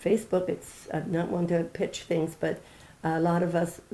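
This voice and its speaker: A woman talks at a moderate pace, somewhat breathy with a dark, mellow tone. Her intonation is monotone and flat. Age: 80s+. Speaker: interviewee celebrating birthday. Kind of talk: casual interview.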